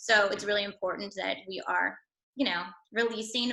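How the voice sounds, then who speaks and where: A woman's bright, sharp voice at medium pitch, fairly quick, with fairly even intonation. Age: 30s. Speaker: wellness product promoter. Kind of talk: sales pitch. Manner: fast; casual, chatty.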